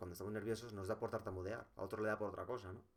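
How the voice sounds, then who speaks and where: Very fast and fairly low in pitch, a man speaks. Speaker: vlogger. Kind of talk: personal vlog monologue. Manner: halting, many fillers and repetitions.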